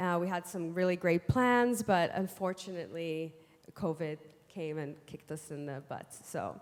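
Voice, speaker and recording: A woman with a non-native accent, at a fairly slow pace and with ordinary pitch variation. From United States. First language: not English. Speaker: DJ and panelist. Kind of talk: panel discussion. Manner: halting, many restarts and fillers.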